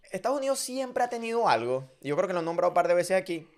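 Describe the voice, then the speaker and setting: Against a silent background on a very clean recording, a man with a high pitch talks at a fairly quick pace with very wide pitch swings. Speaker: podcast host. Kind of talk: casual chat. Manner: fast; animated.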